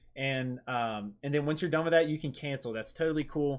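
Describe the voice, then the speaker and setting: A man with a fairly high pitch talks at a very fast pace with ordinary pitch variation over a quiet background. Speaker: IT trainer. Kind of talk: live stream tutorial with Q&A. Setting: live stream. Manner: casual, many filler words. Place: home room.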